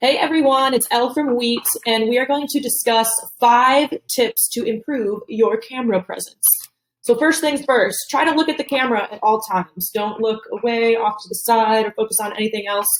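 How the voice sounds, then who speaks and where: A woman talks in a normal speaking voice at a moderate pace, her fairly high pitch showing ordinary variation. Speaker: company video presenter. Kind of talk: tutorial.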